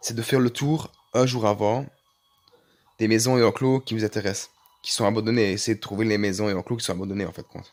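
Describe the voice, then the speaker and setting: At a very fast pace, a man with a medium pitch talks with long, frequent pauses. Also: fairly even intonation. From Belgium. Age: 20s. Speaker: gaming YouTuber. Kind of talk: casual gaming tutorial.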